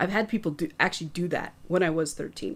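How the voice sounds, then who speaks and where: A soft-spoken woman with ordinary pitch variation. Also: very clean recording, silent background. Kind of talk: casual chat.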